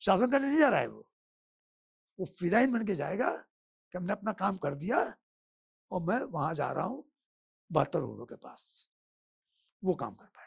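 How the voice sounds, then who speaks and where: A high-pitched man speaks with very wide pitch swings, big swings in loudness, and long, frequent pauses. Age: 70s. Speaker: temple restoration campaigner. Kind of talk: podcast interview. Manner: animated.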